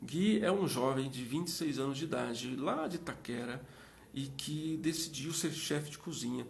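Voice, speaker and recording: Recorded with audible room echo, a man speaks at a moderate pace with a fairly high pitch and ordinary pitch variation. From Minas Gerais, Brazil. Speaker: live interview host. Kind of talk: live stream chat. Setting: Instagram live.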